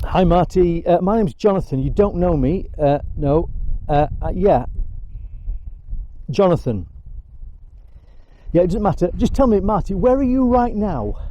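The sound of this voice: This man talks with a high pitch and a dark, mellow tone, his intonation lively, his pace fairly slow, and his pauses long and frequent.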